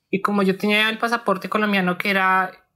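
Here a woman speaks. Her intonation is monotone and flat. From Colombia. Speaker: pharmaceutical chemist and former asylum seeker. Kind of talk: personal testimony interview. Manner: hesitant, with many fillers.

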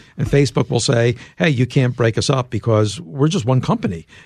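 This man has an American accent and a medium pitch. His voice is somewhat breathy. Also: hardly any pauses, very even loudness. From US, Philadelphia. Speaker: journalist and author. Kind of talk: interview.

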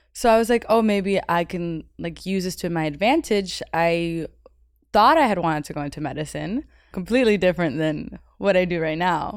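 A woman has an ordinary speaking voice at a fairly low pitch with ordinary pitch variation. She speaks at a moderate pace on a very clean recording with a silent background. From Miami, Florida (US South). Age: 20s. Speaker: personal assistant. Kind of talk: casual chat.

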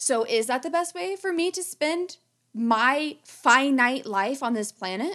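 A high-pitched woman's voice with a bright, sharp tone and very wide pitch swings. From rural southern Ohio, US. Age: 30s. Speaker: podcast host and conservation biologist. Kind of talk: casual chat.

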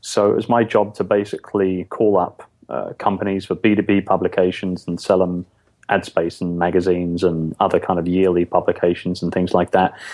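Speaking at a moderate pace in a London accent, a man delivers a monotone, flat line at a very deep, low pitch. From London, England. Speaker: podcast guest, business owner.

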